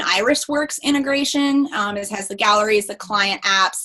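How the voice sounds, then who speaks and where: A woman speaks in a raised, projected voice with very wide pitch swings. Noticeable background noise runs underneath. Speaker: lawyer and photographer, business consultant. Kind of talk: interview. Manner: fast.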